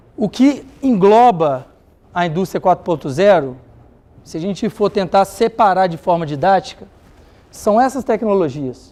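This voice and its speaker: A man's high-pitched voice in a Minas Gerais accent, dark and mellow in tone, with lively intonation, a fairly slow pace and long, frequent pauses. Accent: mineiro accent, noticeable. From Minas Gerais, Brazil. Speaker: conference speaker on health technology. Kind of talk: conference presentation.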